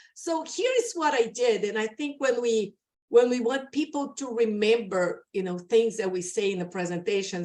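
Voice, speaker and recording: A woman with a Brazilian Portuguese accent speaks at a fairly high pitch and a moderate pace with lively intonation. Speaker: career coach. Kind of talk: presentation. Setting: video call. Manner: loud; animated.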